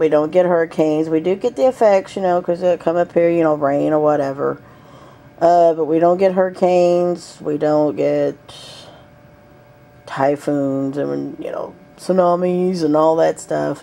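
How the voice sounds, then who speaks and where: Speaking fairly slowly, the woman has a Southern US accent. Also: fairly low pitch for a woman, fairly even intonation. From US South. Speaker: vlogger. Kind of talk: casual chat. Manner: hesitant, many fillers.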